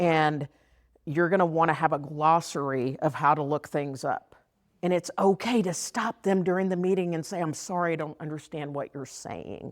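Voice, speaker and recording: A woman with a strong Texas accent and an animated tone, fairly low in pitch, at a moderate pace with ordinary pitch variation, on a very clean recording with a silent background. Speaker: former teacher and district special education trainer. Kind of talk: workshop presentation. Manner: animated, conversational.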